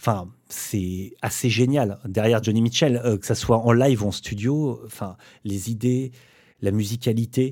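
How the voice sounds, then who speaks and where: The man's voice sits at a medium pitch, with a dark, mellow tone and fairly even intonation. It is heard over a very clean recording with a silent background. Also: fairly slow pace. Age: 40s. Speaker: bassist. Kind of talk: casual chat.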